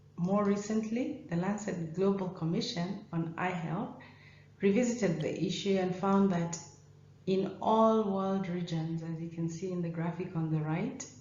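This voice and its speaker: Audible room echo around a medium-pitched woman's voice. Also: ordinary pitch variation. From Kenya. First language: not English; English is third of five languages. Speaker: ophthalmologist. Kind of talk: conference talk.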